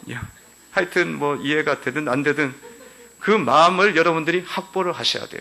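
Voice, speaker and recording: A man talks in a bright, sharp tone with vocal fry. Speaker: pastor. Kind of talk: sermon. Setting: church. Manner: animated.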